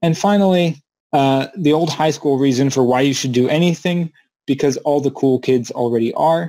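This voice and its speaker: A man's fairly high, dark, mellow voice with a Mid-Atlantic accent, very even loudness, ordinary pitch variation and a moderate pace. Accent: American, Mid-Atlantic. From US, Maryland. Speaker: company CEO, remote work speaker. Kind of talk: conference presentation. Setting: virtual conference, video call.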